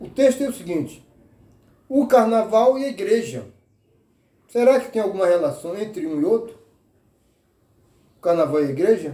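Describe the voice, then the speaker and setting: The voice has a dark, mellow tone and very wide pitch swings, moving at a moderate pace with long, frequent pauses. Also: man, high pitch for a man. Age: 80s+. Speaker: social media commentator. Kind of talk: informal talk to camera. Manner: halting.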